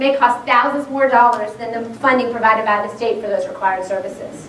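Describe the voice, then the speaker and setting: A woman talks at a very fast pace with ordinary pitch variation against noticeable background noise. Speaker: school board member. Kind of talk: public presentation.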